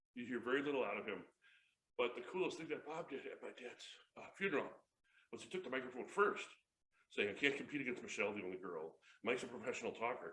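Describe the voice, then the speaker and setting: An American accent comes through at a very fast pace with an animated tone. There is audible room echo. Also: man. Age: 50s. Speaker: motivational speaker and comedian. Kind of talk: motivational talk. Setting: stage with audience.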